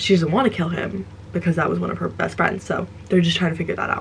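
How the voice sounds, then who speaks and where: Noticeable background noise accompanies a woman with a fairly low voice and lively intonation. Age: 20s. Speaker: book reviewer. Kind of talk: casual chat. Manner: halting.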